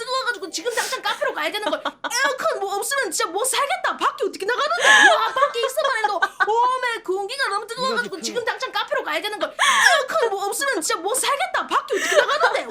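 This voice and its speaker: A woman speaks very fast in a raised, projected voice at an extremely high pitch. Her intonation is lively, and there is noticeable background noise. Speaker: virtual streamer. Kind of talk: casual livestream talk.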